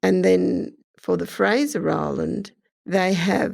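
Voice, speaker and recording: In an Australian accent, the words come out at a very slow pace. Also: woman. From Queensland, Australia. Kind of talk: casual explanatory talk about language.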